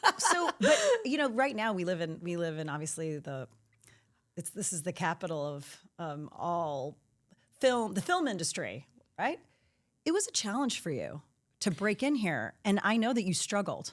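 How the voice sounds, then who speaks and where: A woman speaks at a moderate pace at a medium pitch. Her pitch swings very widely, and she leaves long, frequent pauses. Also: very clean recording, silent background. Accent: American. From Saint Louis, US Midwest. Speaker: podcast host. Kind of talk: interview conversation.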